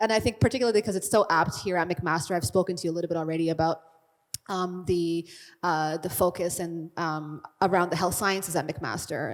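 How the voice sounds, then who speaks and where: A woman with an unremarkable speaking voice talks at a fairly quick pace and fairly low pitch. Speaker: Q&A moderator. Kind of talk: Q&A moderation.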